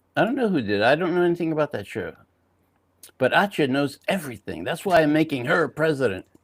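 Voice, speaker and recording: Very fast and lively in intonation, a man with a fairly high pitch and vocal fry comes through on a very clean recording with a silent background. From outside the US. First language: not English. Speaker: podcast host, TV producer. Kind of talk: casual chat. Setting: live stream.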